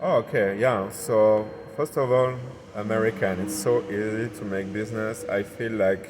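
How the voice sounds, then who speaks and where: There is noticeable background noise as a man talks with a southern French accent. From southern France. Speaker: entrepreneur. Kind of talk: podcast interview. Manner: hesitant, searching for words.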